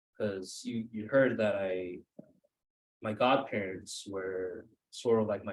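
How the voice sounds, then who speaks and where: A man speaks at a medium pitch with a Cambodian accent. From Maine. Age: 30s. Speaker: author. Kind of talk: author talk with Q&A. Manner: hesitant, many fillers.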